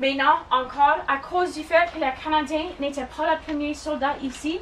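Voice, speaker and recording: A woman with an English accent speaks at a fairly slow pace in a high voice, her pitch varying in an ordinary way over noticeable background noise. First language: English (speaking French). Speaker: tour guide. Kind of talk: guided tour talk.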